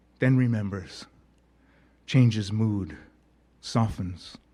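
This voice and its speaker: Speaking at a fairly slow pace with fairly even intonation, a man has a somewhat breathy voice and a dark, mellow tone. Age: 70s. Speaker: poet. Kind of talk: poetry reading.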